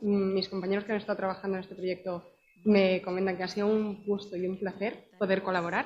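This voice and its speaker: The speaker has a Madrid accent. The pace is fairly quick. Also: woman. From Madrid, Spain. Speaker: company representative, psychologist in HR. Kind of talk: conference presentation.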